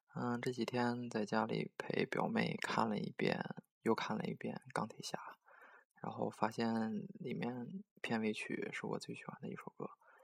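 A woman talks at a fairly slow pace, recorded with a dry, close sound and no echo. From Dalian, northeast China. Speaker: amateur music radio host. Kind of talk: casual DJ talk between songs. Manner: halting, many filler sounds.

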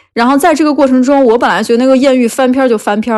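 A woman's high-pitched voice. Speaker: podcast guest sharing dating stories. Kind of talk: casual chat. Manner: clear articulation.

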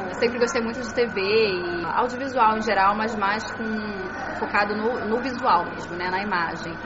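A woman's fairly high voice at a moderate pace, with fairly even intonation, audible room echo and noticeable background noise. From Brazil, Niterói (Rio de Janeiro state). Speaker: journalist, former radio reporter. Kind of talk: interview, casual chat.

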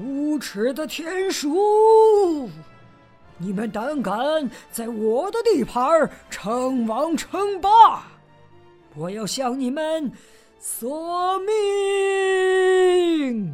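A put-on character voice, high-pitched and shaky, shouting at a very slow pace with very wide pitch swings, long, frequent pauses and faint music in the background. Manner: trembling shout.

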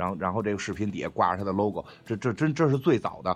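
At a very fast pace, a man talks in a fairly low voice with ordinary pitch variation. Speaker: podcast co-host, film chat. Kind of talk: casual chat. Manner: animated, jokey.

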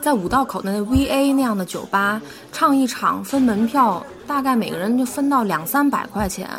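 Lively in intonation and high in pitch, a woman talks at a moderate pace while noticeable background noise carries on behind her. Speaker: jazz singer. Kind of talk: casual chat. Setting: coffee shop. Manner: halting, many fillers.

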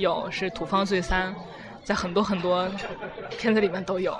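Music plays behind a woman speaking at a fairly slow pace with medium pitch. Room echo is audible. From China, Tianjin. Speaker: university student. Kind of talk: casual interview. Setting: restaurant.

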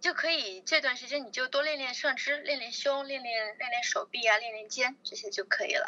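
A woman's raised, projected, high-pitched voice at a fairly quick pace with hardly any pauses. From China, Chongqing. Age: 20s. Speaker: fitness enthusiast, bikini competitor. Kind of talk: interview.

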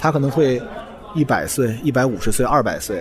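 Music plays in the background as a man talks fairly quickly at medium pitch with ordinary pitch variation. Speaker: podcast host, science communicator. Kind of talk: solo podcast monologue. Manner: casual, conversational.

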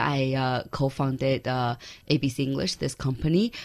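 A very slow delivery with a Chinese accent. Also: woman. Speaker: startup founder and CEO. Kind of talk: interview.

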